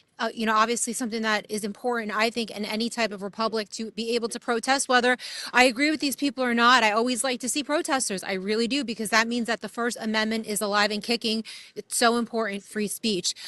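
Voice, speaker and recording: A woman in a New York accent talks at a very fast pace with fairly even intonation. The sound is dry and close with no echo, but background noise is noticeable. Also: fairly high pitch for a woman. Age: 30s. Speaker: street reporter. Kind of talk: street interview. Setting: outdoors. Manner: casual.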